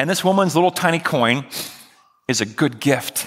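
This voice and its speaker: At a fairly quick pace, a man speaks in a bright, sharp tone with vocal fry and ordinary pitch variation. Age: 40s. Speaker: pastor. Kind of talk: sermon.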